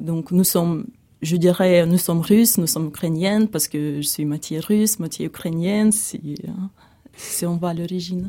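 A woman's fairly low voice with a dark, mellow tone, fairly even intonation and a moderate pace. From eastern Ukraine (Donbas). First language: Russian or Ukrainian (speaking French). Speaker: refugee. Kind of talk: testimony. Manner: halting.

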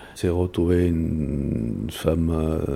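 This man's voice has a dark, mellow tone. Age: 60s. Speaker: security professional, ex-military. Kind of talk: personal testimony.

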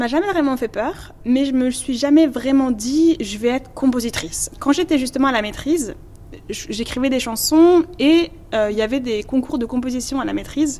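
With ordinary pitch variation, the talking keeps to a moderate pace as noticeable background noise plays. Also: woman, high pitch for a woman. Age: young. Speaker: composer and singer. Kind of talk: interview.

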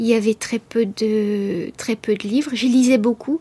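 Dark, mellow tone and ordinary pitch variation in a dry, close sound with no echo. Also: woman. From France, Beauce region. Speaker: writer. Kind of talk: radio interview. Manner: halting, many hesitations.

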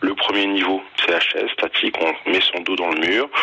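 Noticeable background noise runs as a man talks at a moderate pace. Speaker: fitness coach. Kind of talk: tutorial. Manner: formal; methodical.

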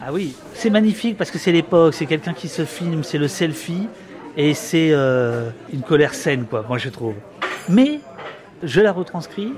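Amid noticeable background noise, a man with a fairly high pitch speaks with long, frequent pauses. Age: 50s. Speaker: journalist and author. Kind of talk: interview.

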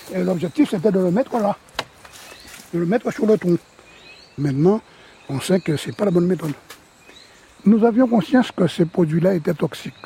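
A high-pitched man speaks at a moderate pace with lively intonation and long, frequent pauses. The sound is dry and close with no echo, though noticeable background noise comes through. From Guadeloupe. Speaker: banana farmer. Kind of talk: interview.

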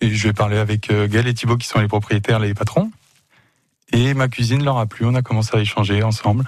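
At a moderate pace, a man talks in a medium pitch. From Le Mans, France. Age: 20s. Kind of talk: radio interview. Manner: animated.

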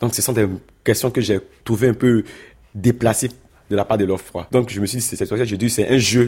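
A man with a medium pitch and a dark, mellow, somewhat breathy tone speaks at a moderate pace in a flat monotone, with long, frequent pauses. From Ivory Coast. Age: 20s. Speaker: asylum seeker. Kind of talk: interview testimony.

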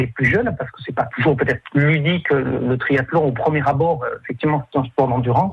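Noticeable background noise accompanies a man with a fairly high pitch speaking at a moderate pace with fairly even intonation. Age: 40s. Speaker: triathlon club president. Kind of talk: radio interview. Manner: halting.

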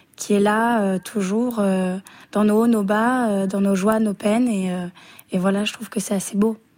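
In a monotone, flat intonation, a woman speaks at a very slow pace. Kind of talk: casual interview. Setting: radio studio.

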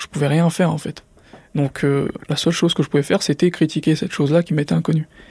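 The tone is dark and mellow, with fairly even intonation at a very fast pace. The sound is dry and close, with no echo. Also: man. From Drancy, Seine-Saint-Denis, France. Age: 20s. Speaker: entrepreneur, former student. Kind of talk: interview testimony. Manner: uses filler words, hesitant.

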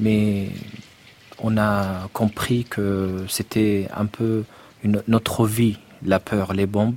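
A man talks at a very slow pace in a fairly low pitch, his loudness very even, his intonation monotone and flat, with long, frequent pauses. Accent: Arabic. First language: Arabic (speaking French). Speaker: poet. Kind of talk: interview. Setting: studio. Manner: halting.

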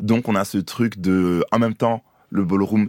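A man's normal speaking voice, fairly low in pitch, at a fairly slow pace with fairly even intonation, in a dry, close sound with no echo and a very clean recording with a silent background. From France and Côte d'Ivoire. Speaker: drag queen and voguing dancer. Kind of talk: radio interview. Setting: radio studio.

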